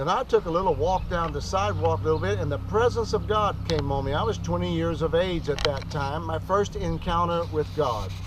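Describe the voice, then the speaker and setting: Room echo is audible as a man talks at a fairly quick pace through noticeable background noise. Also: hardly any pauses. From Arkansas. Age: 60s. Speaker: preacher. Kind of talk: testimony. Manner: informal, off the cuff.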